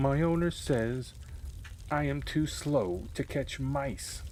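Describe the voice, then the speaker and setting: A man puts on a character voice at medium pitch. He speaks at a very slow pace over clear background noise. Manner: plaintive, complaining.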